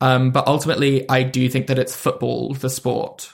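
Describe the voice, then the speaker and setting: A man in a London accent talks at a moderate pace and medium pitch in a somewhat breathy voice. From London, England. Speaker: comedian. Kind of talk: casual chat.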